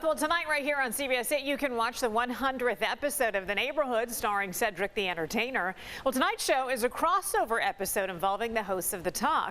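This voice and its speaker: A woman's high voice at a very fast pace, lively in intonation, with hardly any pauses and noticeable background noise. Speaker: TV news anchor. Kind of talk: TV news anchor read.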